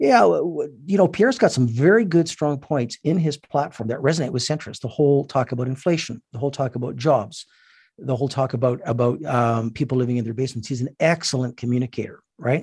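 In a Canadian accent, the speaker rushes along at a very fast pace with hardly any pauses, sounding somewhat breathy against a quiet background. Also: man, medium pitch for a man, ordinary pitch variation. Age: 60s. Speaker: businessman and political advocate. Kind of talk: radio interview. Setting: phone call.

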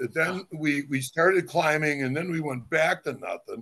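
This man has an American accent and a normal speaking voice. He talks at a moderate pace with a fairly high pitch. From Ohio, Cleveland. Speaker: former college football player. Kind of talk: casual interview.

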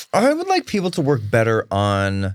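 A man talks at a moderate pace and a medium pitch in a plain, everyday voice. The recording is very clean, with a silent background. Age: 40s. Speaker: comedian and radio host. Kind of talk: casual chat.

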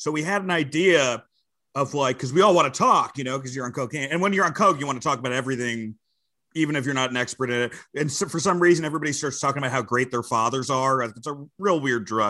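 Against a quiet background, a man in an American accent talks at a very fast pace, his fairly high voice bright and sharp with ordinary pitch variation. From New Jersey and Westchester, New York. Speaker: comedian and wrestling commentator. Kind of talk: casual chat.

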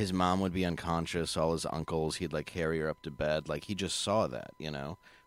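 With an American accent, a man speaks fairly quickly in a very deep, low pitch. His intonation is fairly even, with hardly any pauses. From Michigan, Ann Arbor / Detroit area. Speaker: comedian. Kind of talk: casual chat.

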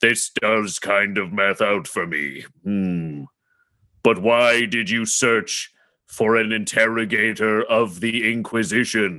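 On a very clean recording with a silent background, a man uses a put-on character voice at a medium pitch and a fairly slow pace. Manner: clipped, mechanical, curt.

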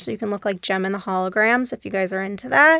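A woman's very fast American-accented speech at medium pitch, bright and sharp in tone, with a dry, close sound and no echo. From Texas, Dallas. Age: 30s. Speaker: beauty industry director. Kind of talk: casual interview.

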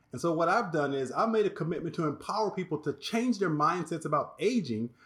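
A man with an American accent speaks at a high pitch. He goes very fast, with lively intonation. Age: 60s. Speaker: life coach and author. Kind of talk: interview.

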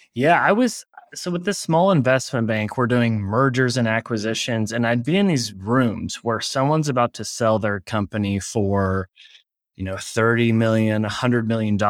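The recording is very clean with a silent background. A man with an American accent has an unremarkable speaking voice, medium pitch, ordinary pitch variation and a moderate pace. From Oklahoma City, US. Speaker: e-commerce agency founder. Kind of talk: interview.

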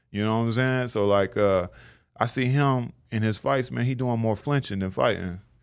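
Heard against a quiet background, a man with an American accent has an ordinary speaking voice. His pitch is medium, with ordinary pitch variation, and he keeps a moderate pace. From Tulsa, Oklahoma. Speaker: professional boxer. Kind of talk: casual interview.

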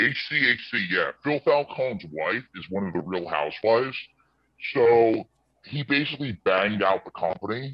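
Speaking at a moderate pace with lively intonation, a medium-pitched man shows vocal fry. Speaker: finance commentator. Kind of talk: casual chat about investing. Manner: emphatic, profane.

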